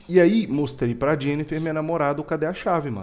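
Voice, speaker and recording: This man talks at a fairly quick pace. His voice is fairly high, with ordinary pitch variation. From Brazil. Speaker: podcast co-host. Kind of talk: casual chat. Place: home room. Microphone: headset.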